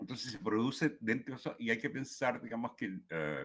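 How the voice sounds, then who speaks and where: A man with a Chilean accent and very wide pitch swings. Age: 70s. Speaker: poet. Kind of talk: talk at a writing workshop. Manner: halting, many fillers and repetitions.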